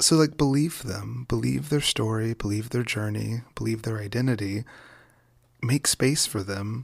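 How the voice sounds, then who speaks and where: A man with an American accent speaks at a moderate pace and medium pitch with ordinary pitch variation. His somewhat breathy voice sits on a very clean recording with a silent background. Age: 20s. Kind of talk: casual interview conversation. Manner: animated, laughing often.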